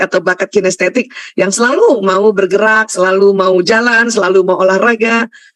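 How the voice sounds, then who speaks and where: A woman talks at a fairly quick clip with ordinary pitch variation. The sound is dry and close, with no echo. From Indonesia, Bugis heritage (South Sulawesi). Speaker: Islamic lecturer, doctor. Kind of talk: religious lecture.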